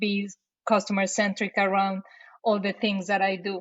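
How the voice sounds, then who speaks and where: Speaking with a Mexican accent, a woman has a somewhat breathy voice at medium pitch. Her intonation stays monotone and flat. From Mexico City, Mexico. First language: Spanish. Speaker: marketing operations director. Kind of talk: casual interview. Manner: halting with repetitions.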